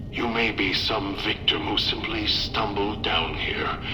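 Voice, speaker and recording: A man's cartoonish character voice at a very slow pace, with clear echo and loud background noise. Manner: measured, cold, manipulative.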